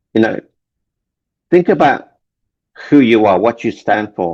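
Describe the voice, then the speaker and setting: Speaking at a moderate pace in an English accent, a man shows vocal fry and very wide pitch swings. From London, England (Indian family, born in Kenya). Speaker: relationship coach and author. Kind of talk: interview. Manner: halting, repeats words.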